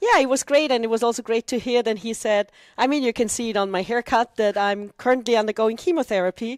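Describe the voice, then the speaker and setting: A woman with an Austrian accent talks very fast at a fairly high pitch with ordinary pitch variation, in a very clean, dry, close recording with a silent background and no echo. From Austria, Vienna. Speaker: dragon boat club president, cancer patient. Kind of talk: interview.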